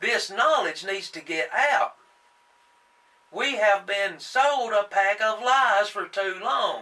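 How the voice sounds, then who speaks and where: Raised and projected, a man's high voice with an American accent moves at a very slow pace with lively intonation over noticeable background noise. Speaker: young-earth creationist video host. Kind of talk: impassioned monologue. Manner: halting, stumbling on words.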